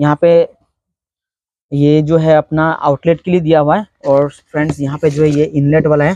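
Dry and close with no echo, a man's fairly high voice has a dark, mellow tone and little pitch movement.

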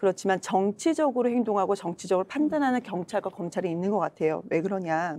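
Lively intonation colors a voice of dark, mellow tone. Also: woman. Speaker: party spokesperson. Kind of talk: political panel discussion. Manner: animated, argumentative. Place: studio. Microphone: lapel.

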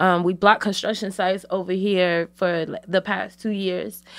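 A woman with an American accent has an unremarkable speaking voice, with medium pitch and moderate pace, in a very clean recording with a silent background. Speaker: community organizer. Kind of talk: casual chat. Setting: studio.

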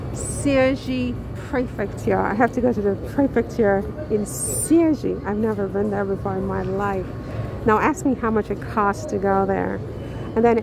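Music plays in the background as a woman talks at a fairly slow pace, the sound dry with no echo. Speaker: vlogger. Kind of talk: casual vlog chat. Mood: amused, exasperated. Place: station. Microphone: phone near.

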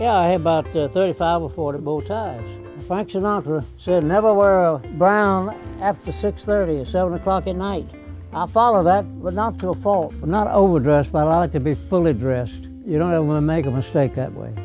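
Over music in the background, a man's fairly high voice swings very widely in pitch. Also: fairly quick pace. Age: 80s+. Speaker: company founder. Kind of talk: interview answer. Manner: witty.

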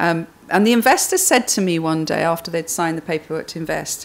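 At a fairly quick pace, a woman speaks low in pitch with vocal fry and ordinary pitch variation.

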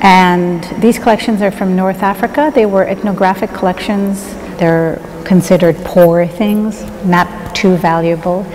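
Over light background noise, a woman speaks at a fairly slow pace with fairly even intonation. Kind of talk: interview answer. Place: hall.

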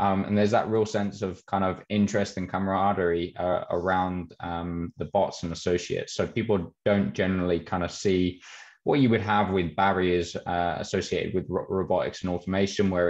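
At a moderate pace, a man speaks with a low pitch, little pitch movement and a slightly mellow tone.

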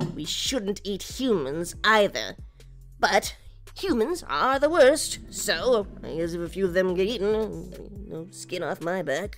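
With clear music in the background, a woman at a medium pitch talks at a fairly slow pace, her loudness swinging widely. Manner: stern, scolding, dry.

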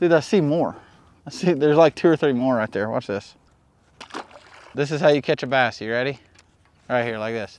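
A man talks at a moderate pace with medium pitch and ordinary pitch variation. His tone is slightly mellow, and he takes long, frequent pauses.

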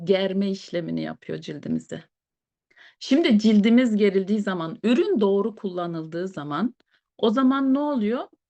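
Over a quiet background, a woman of medium pitch speaks at a fairly slow pace with lively intonation and a dry, close sound with no echo. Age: 40s. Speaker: beautician and product presenter. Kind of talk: product presentation. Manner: hesitant with fillers.

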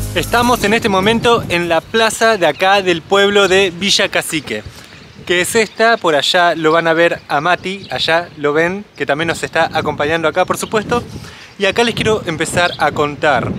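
A high-pitched male voice at very even loudness, over light background noise. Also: ordinary pitch variation, moderate pace, dry sound with no echo. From Argentina. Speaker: travel vlogger. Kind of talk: casual talk to camera. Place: open country. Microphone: phone near.

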